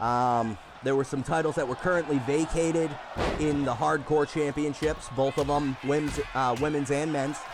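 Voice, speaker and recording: The speech keeps a moderate pace at very even loudness. Noticeable background noise can be heard. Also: man, fairly high pitch for a man. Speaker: wrestling commentator and stream host. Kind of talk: live commentary. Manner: animated.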